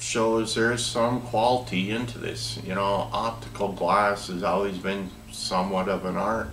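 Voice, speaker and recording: Amid light background noise and audible room echo, a man speaks at a fairly slow pace. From US Upper Midwest (northern Minnesota). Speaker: product demonstrator for door openers; product reviewer. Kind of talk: product demo tutorial. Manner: casual, conversational with self-corrections. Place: workshop. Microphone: camera far.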